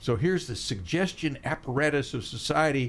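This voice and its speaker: A man speaks in a somewhat breathy voice. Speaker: radio host. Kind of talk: casual interview chat. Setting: studio.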